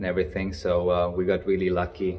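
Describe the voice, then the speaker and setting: A man speaks in a very deep, low voice with a dark, mellow tone and vocal fry. Light background noise can be heard. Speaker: vlogger. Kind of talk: casual vlog chat. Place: hall. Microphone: phone near.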